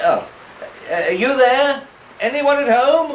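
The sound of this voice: A man uses a put-on character voice pitched extremely high, with lively intonation and a slow pace. Room echo is audible.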